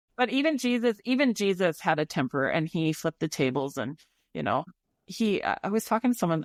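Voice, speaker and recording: Her pitch swings very widely around a medium level, and the woman speaks at a fairly quick pace. The recording is very clean with a silent background and a dry, close sound with no echo. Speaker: podcast host. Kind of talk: casual chat. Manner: chatty.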